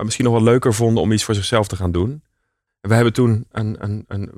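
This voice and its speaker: Pitched in the medium range, a man speaks at a fairly quick pace with ordinary pitch variation. The recording is very clean against a silent background. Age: 30s. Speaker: entrepreneur. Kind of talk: interview. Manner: hesitant, many fillers.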